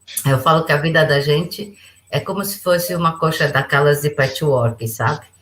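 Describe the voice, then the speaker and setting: Somewhat breathy, a woman speaks with a very deep, low pitch. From Brazil. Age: 60s. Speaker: businesswoman and international relations advisor. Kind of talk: podcast interview.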